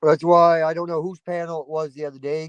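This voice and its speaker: The man's voice sits high in pitch. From Maine, moved around US East Coast. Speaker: YouTube live streamer. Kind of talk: casual live-stream chat. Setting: outdoors. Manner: animated.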